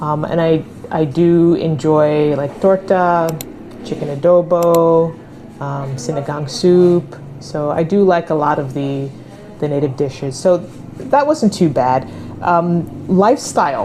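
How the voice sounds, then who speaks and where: Speaking at a fairly slow pace with a New York accent, this voice has ordinary pitch variation and long, frequent pauses over noticeable background noise. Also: woman, fairly low pitch for a woman. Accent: New York American. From New York, US. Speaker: American expat interviewee. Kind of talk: casual interview. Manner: clear enunciation.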